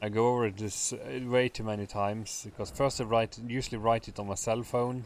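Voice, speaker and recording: Talking at a fairly quick pace with hardly any pauses, a man with a medium pitch keeps his intonation fairly even. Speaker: amateur fiction writer. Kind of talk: casual chat. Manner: halting.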